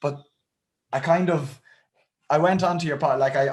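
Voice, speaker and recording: A man with an Irish Midlands accent, somewhat breathy, at a fairly quick pace with ordinary pitch variation. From Ireland, County Roscommon. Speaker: fitness channel host. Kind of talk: interview.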